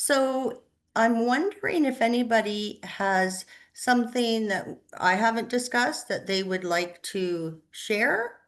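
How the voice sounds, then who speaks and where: Over a quiet background, a woman with an unremarkable speaking voice talks at a fairly slow pace, her pitch fairly high with ordinary variation. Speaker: social work counselor. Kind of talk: online workshop presentation.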